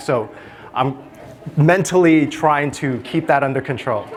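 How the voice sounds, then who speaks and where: A man's fairly high voice with an American accent and ordinary pitch variation. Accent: Brooklyn accent, mostly shed. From New York City (Brooklyn). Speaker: public health researcher. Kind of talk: conference talk.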